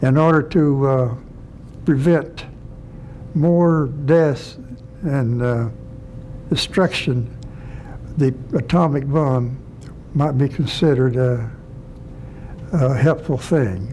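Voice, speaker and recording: Noticeable background noise sits behind a man with an American accent, who speaks at a very slow pace in a fairly high pitch with ordinary pitch variation, long, frequent pauses and very even loudness. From North Carolina. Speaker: war veteran. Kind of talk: interview answer.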